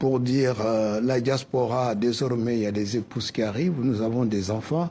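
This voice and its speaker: A dark, mellow tone comes through at a moderate pace, with fairly even intonation and very even loudness. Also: man, medium pitch for a man. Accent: West African. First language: Soninke (speaking French). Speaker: cultural association president. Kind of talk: TV interview.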